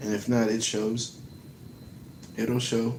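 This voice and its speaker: American-accented male speech, audible room echo around it. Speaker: livestreamer. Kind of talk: casual livestream chat. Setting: late-night livestream. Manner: not loud.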